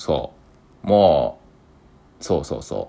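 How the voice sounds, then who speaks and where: Over a very clean recording with a silent background, a man speaks at a moderate pace. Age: 20s. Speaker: podcaster. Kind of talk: solo monologue.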